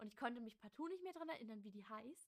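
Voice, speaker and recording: A woman talks at a very fast pace. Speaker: cosplay podcast co-host. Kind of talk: casual chat. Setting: same room as co-host.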